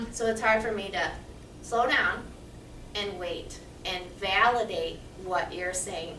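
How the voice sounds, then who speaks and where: Amid noticeable background noise and audible room echo, the voice moves at a very slow pace with fairly even intonation and long, frequent pauses. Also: woman, medium pitch for a woman. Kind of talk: staff training session.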